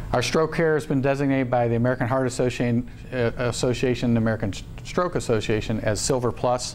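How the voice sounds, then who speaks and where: Room echo is audible as a man speaks at a very fast pace. His pitch is medium and his intonation fairly even. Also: very even loudness. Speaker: hospital executive and surgeon. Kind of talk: presentation at staff town hall meeting. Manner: halting, many fillers.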